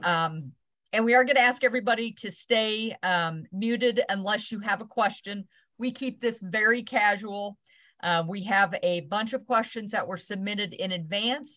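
The tone is bright and sharp, with ordinary pitch variation. The pace is moderate and the background is quiet. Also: woman. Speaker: host of an online parenting session. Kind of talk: webinar welcome and housekeeping. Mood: warm, welcoming. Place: office. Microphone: video call.

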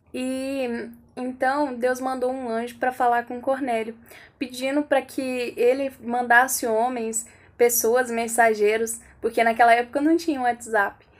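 Fairly slow delivery from a woman with a high pitch. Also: fairly even intonation. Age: 20s. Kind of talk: devotional talk. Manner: hesitant, with fillers. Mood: calm, warm, gentle. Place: home room. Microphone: phone near.

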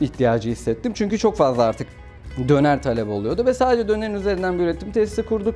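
Faint music plays in the background as a man talks. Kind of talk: interview answer. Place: shop.

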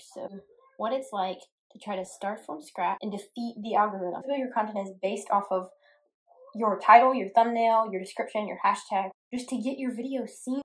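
Fairly high, somewhat breathy female voice with ordinary pitch variation at a moderate pace. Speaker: guitarist and YouTube creator. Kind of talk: angry rant to camera about the YouTube algorithm. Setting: solo video to camera, self-recorded. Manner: exasperated, complaining, aggrieved.

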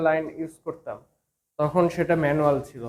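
Here a man talks at a fairly high pitch. His intonation is monotone and flat. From Bangladesh, Kushtia. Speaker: electrical trainee. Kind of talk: tutorial.

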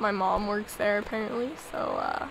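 Over noticeable background noise, the speaker moves at a fairly slow pace. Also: woman. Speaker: let's play gamer. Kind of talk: casual gameplay commentary.

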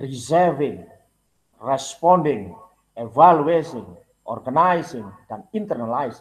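A man talks very slowly in a fairly high voice. His intonation is lively. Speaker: university program coordinator; university lecturer presenting to teachers. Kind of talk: lecture. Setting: video call. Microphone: video call.

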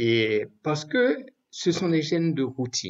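The background stays quiet. This man talks very slowly. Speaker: evangelist preacher. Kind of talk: prayer then sermon. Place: home room. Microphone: webcam.

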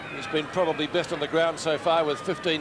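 A man with an Australian accent speaks in an animated tone at a fairly quick pace. His pitch is high, and there is noticeable background noise. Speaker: play-by-play commentator. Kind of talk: live sports commentary, AFL match call. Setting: stadium commentary box, live broadcast. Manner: rapid-fire, animated, keeps pace with the play, builds to a crescendo at the final siren.

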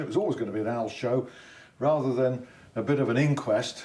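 A man speaks with ordinary pitch variation. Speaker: TV presenter. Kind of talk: presenter introduction and interview questions. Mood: rueful, lightly humorous. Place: studio. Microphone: lapel.

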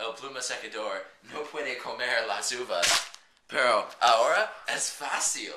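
The delivery is very slow. Loud background noise runs underneath. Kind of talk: mock infomercial skit. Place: home room. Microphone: phone near.

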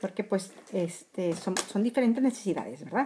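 A woman speaks with ordinary pitch variation against light background noise. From Mexico, Monterrey; Nuevo León, Mexico. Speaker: makeup blogger. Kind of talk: makeup tutorial livestream. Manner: casual, with many fillers. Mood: warm, enthusiastic. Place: home room. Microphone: phone near.

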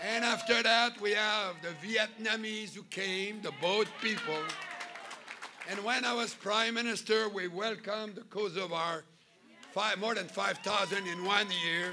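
A man uses a raised, projected voice at a fairly slow pace with fairly even intonation. Crowd noise fills the background. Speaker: speaker. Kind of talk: political rally speech. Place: hall. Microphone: podium.

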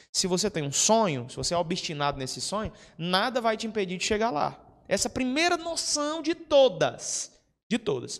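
A high-pitched man, animated in tone, with very wide pitch swings at a moderate pace. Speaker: prep course teacher and mentor. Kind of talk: mentoring talk to students. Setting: classroom with live audience. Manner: animated, informal, swears. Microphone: handheld.

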